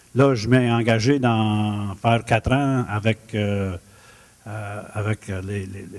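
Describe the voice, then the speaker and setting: A man talks at a very slow pace with fairly even intonation. His loudness swings widely. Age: 60s. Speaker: mayoral candidate. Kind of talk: campaign speech. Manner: halting.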